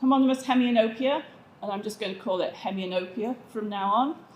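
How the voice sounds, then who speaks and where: With a northern English accent, a woman speaks in a somewhat breathy, fairly high voice amid audible room echo. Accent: English (northern England). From England, south of Manchester. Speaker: vision researcher, optometrist. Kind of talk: conference presentation.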